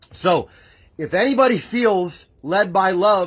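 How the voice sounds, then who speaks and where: Loud and animated, a man speaks with lively intonation in a very clean recording against a silent background. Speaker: spiritual livestream host. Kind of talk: livestream preaching. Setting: live stream from home. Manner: emotional, animated.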